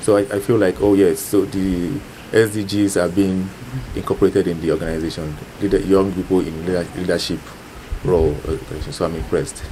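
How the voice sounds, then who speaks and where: At a fairly quick pace, a man speaks with a very deep, low pitch over noticeable background noise. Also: fairly even intonation. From Nigeria. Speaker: student. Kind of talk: interview answers.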